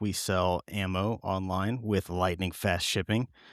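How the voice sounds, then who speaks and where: Spoken in a normal speaking voice at a fairly slow pace with ordinary pitch variation, the clip has a dry, close sound with no echo and a very clean recording over a silent background. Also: man. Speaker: gun retailer video host. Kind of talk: casual chat.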